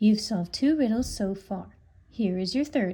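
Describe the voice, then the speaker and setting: Soft-spoken and calm, a woman in a put-on character voice uses a gentle tone, medium pitch and lively intonation at a moderate pace. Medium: read story. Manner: calm, gentle.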